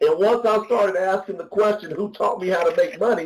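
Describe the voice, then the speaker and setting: This man's voice sits high in pitch, and its pitch variation is ordinary. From rural US. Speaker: business mentor. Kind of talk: mentorship call. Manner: animated.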